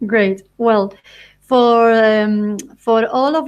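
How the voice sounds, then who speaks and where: A woman with a Spanish accent speaks in a fairly high voice. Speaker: interviewer, podcast host. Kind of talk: promotional announcement; interview. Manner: halting.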